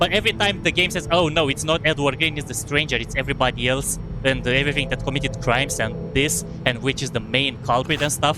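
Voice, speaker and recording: Speaking at a fairly quick pace with a Romanian accent, a man with a fairly high pitch is heard against noticeable background noise. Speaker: gaming streamer. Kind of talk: live gameplay commentary. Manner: fast; halting, self-correcting.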